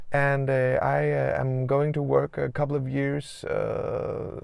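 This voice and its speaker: Noticeable background noise surrounds a man who speaks with a slight Danish accent. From Denmark. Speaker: doctor and video blogger. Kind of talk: casual vlog talk. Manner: halting, many fillers.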